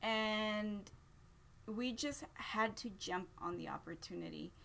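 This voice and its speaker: A woman speaks with a Spanish accent. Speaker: parent vlogger. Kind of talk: casual chat. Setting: live stream.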